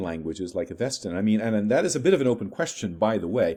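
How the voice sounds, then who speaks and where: A man speaks very fast in a dark, mellow tone. His intonation is lively. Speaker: lecturer on ancient script decipherment. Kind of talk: lecture. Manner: halting, with repetitions and fillers.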